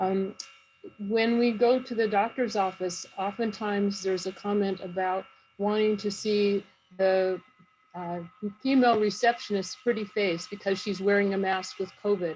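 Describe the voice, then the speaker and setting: Fairly even intonation at a moderate pace. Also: woman, medium pitch for a woman. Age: 50s. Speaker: nurse and family caregiver. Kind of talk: panel talk.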